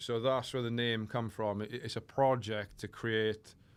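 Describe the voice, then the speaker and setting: Recorded very cleanly against a silent background, a man with a Welsh accent speaks at a medium pitch in a monotone, flat delivery. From South Wales, Port Talbot. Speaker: fitness coach. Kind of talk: casual chat. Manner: slurred, lazy diction.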